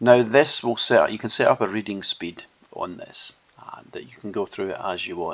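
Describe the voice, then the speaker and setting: A man with a Scottish accent speaks at a moderate pace. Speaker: software developer demonstrating own app. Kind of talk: tutorial. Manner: casual, hesitant.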